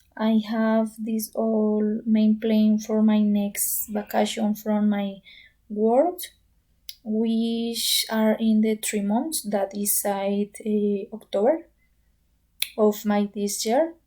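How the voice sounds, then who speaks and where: Speaking at a very slow pace, a woman with a fairly high pitch has a dark, mellow, somewhat breathy tone and fairly even intonation. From Colombia, Bogota. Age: 20s. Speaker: pharmacy student. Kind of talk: English practice monologue. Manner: halting.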